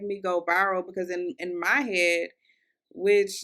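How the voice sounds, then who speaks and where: In an American accent, a woman speaks at a moderate pace with a bright, sharp tone on a very clean recording with a silent background. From US South, Louisville, Kentucky. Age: 20s. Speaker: podcast host, content creator. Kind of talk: casual solo podcast monologue. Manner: conversational, chatty with fillers.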